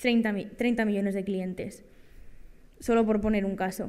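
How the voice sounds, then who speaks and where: Speech moves at a fairly slow pace. The background is quiet. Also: woman. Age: 20s. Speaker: data journalist and lecturer; data journalist, lecturer. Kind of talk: workshop talk. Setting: conference room with audience. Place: hall. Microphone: podium.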